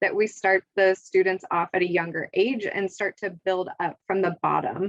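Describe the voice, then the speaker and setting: A woman with an ordinary speaking voice talks at a fairly quick pace and medium pitch. Her pitch varies in an ordinary way, and the sound is dry and close with no echo. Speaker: education official. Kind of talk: presentation.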